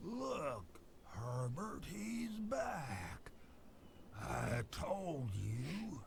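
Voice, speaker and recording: A man uses a put-on character voice at a very slow pace. He leaves long, frequent pauses, and clear background noise can be heard. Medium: video game. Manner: rambling, wry.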